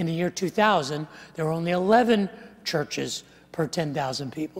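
Speaking fairly slowly, a man uses a high pitch with ordinary pitch variation. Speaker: preacher. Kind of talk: sermon. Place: church. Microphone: lapel.

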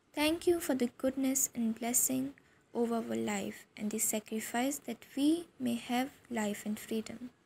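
Pitch moves in an ordinary way. The tone comes across dark and mellow. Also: woman, fairly high pitch for a woman. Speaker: prayer leader. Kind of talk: fervent morning prayer. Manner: earnest, reverent.

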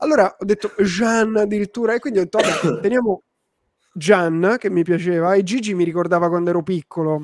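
Against a quiet background, a man speaks in a high pitch and an animated tone, with ordinary pitch variation. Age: 30s. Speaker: online entrepreneur and live-stream host; livestream host. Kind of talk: live-stream chat with viewers. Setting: live stream. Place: home room. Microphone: studio mic.

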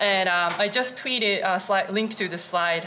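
A woman speaks with a non-native accent. There is light noise in the background. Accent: non-native English speaker. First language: Japanese. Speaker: JavaScript developer. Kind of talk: conference talk. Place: hall.

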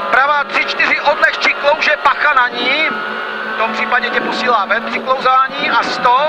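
The speech moves at a moderate pace. Loud background noise is present. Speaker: rally co-driver. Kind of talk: rally co-driver pace notes read aloud in the car. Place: car. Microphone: headset.

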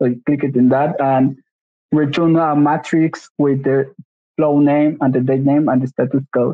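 A man with a Spanish accent speaks at a fairly slow pace and fairly high pitch, in a monotone, flat intonation with very even loudness. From Mexico. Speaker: software engineering intern. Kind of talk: tech demo. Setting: video call. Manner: halting.

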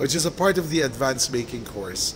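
A man delivers his words at a moderate pace while noticeable background noise carries on. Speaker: video blog host. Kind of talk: casual vlog intro. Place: hall. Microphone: phone near.

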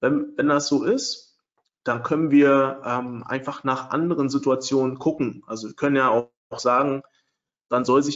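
At a fairly slow pace, a man with a normal speaking voice talks at a medium pitch with fairly even intonation. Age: 30s. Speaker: trading software developer and webinar presenter. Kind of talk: webinar lecture. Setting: online webinar with screen sharing.

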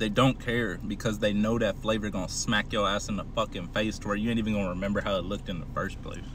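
A man is speaking over light background noise. The sound is dry with no echo. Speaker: food reviewer. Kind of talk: casual vlog chat. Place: car. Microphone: phone near.

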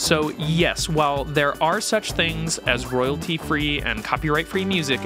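Music plays in the background as a man speaks, the sound dry with no echo. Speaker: video host. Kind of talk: tutorial. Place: studio. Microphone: studio mic.

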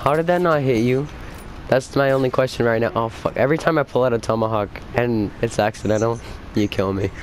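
Amid noticeable background noise, a man talks at a fairly quick pace with ordinary pitch variation and very even loudness. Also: medium pitch for a man. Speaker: gaming youtuber. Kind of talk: casual chat. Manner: animated.

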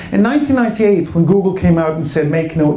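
There is light background noise and audible room echo. A man with a high pitch speaks at a moderate pace. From Sweden. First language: Swedish. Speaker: internet entrepreneur; speaker. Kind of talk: keynote speech. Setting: stage with audience. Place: stage. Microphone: handheld.

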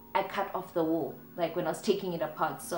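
With faint music in the background and audible room echo, a woman talks at a moderate pace and a fairly low pitch, with ordinary pitch variation. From South Africa. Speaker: DIY home decor YouTuber. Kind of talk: casual talk to camera. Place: home room.

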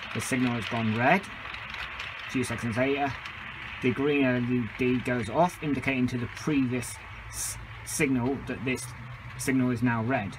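A man at a fairly slow pace with fairly even intonation, over noticeable background noise. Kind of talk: tutorial. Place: garage. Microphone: phone near.

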